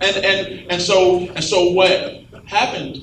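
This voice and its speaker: A man against noticeable background noise. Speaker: pastor. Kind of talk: panel discussion. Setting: stage with audience.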